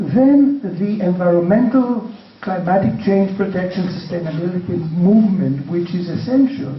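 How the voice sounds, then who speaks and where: There is noticeable background noise and audible room echo as a man speaks at a high pitch and a moderate pace. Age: 60s. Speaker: panelist. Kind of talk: panel discussion. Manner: halting.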